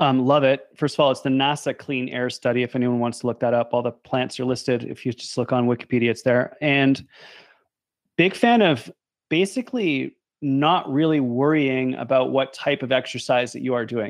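An unremarkable speaking voice belongs to this man, who talks at a moderate pace with a medium pitch and fairly even intonation. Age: 50s. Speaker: podcast host, health scientist. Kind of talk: casual interview chat.

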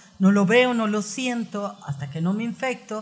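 Her pitch fairly high, a woman talks at a moderate pace with ordinary pitch variation. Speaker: psychotherapist. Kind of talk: interview.

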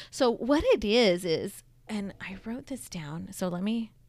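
At a very slow pace, a woman speaks with lively intonation and vocal fry, in a very clean recording with a silent background. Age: 40s. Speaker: podcast host. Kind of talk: casual chat.

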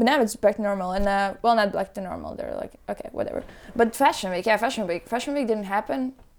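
Speaking at a very fast pace, a woman with a Latvian accent uses a fairly high pitch and ordinary pitch variation. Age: 20s. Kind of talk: casual chat.

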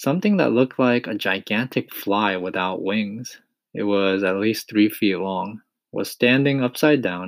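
Reading aloud in a natural voice, over a quiet background.

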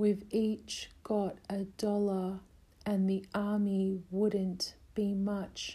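A plain reading aloud.

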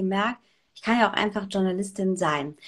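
In a normal speaking voice, a woman talks at a medium pitch with ordinary pitch variation against a quiet background. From Germany, Saarland. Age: 30s. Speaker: radio presenter and journalist. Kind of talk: casual interview. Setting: video call.

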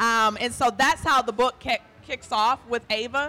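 A woman with an American accent talks at a fairly slow pace in a fairly high pitch. Her tone is bright and sharp, and her intonation is fairly even. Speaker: author of the book. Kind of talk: talking about her book to a live audience. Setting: live bar venue with audience.

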